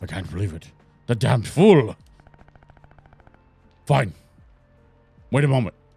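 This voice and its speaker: Over faint background music, a man uses a put-on character voice at medium pitch, with long, frequent pauses. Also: moderate pace. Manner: menacing, spooky.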